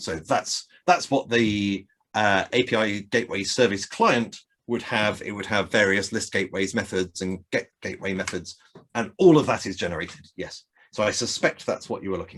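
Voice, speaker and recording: With a fairly low pitch, a man keeps a moderate pace and ordinary pitch variation in an ordinary speaking voice. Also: big swings in loudness. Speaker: software developer giving a tech talk. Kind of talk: technical talk with live code demo. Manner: casual, many fillers.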